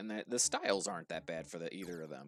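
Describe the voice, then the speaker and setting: A very deep, low-pitched man's voice with an American accent, dry and close with no echo. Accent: slight New Jersey with a bit of Pittsburgh. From New Jersey, US. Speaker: streamer. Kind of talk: live gaming stream chat. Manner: casual, with fillers.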